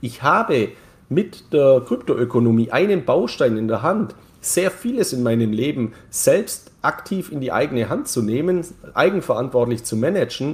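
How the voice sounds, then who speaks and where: A man with a medium-pitched, somewhat breathy voice speaks at a moderate pace with lively intonation. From Bavarian Swabia, Germany (Neu-Ulm). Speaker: crypto market commentator. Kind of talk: casual interview.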